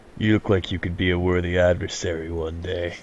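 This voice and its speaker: This man puts on a gruff character voice, pitched very deep and low. He talks at a fairly quick pace with a flat, monotone delivery. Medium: actual play. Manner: gruff, grunting.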